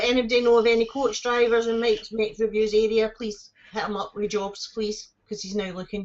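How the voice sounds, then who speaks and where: In a Scottish accent, a woman speaks at a fairly quick pace with monotone, flat intonation. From Scotland. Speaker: live streamer. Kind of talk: casual chat.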